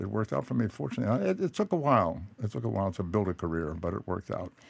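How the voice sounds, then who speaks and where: In an American accent, a man with a very deep, low pitch and vocal fry talks at a very fast pace with lively intonation. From Boston. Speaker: actor. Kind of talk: radio interview answer. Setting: studio. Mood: reflective, reminiscing. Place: studio. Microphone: studio mic.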